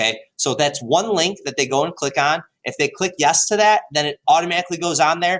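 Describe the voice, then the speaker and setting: Here a man is talking. He moves at a fairly quick pace. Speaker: high school history teacher. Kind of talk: tutorial. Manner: animated, enthusiastic; hesitant with many fillers.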